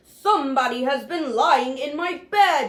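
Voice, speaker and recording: In a put-on character voice, a woman growls in a high pitch at a fairly slow pace. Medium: read story.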